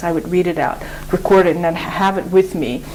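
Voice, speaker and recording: Over noticeable background noise, a woman with a Mongolian accent speaks at a fairly low pitch in a monotone, flat intonation. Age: 30s. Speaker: English teacher. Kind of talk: interview. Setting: studio. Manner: halting.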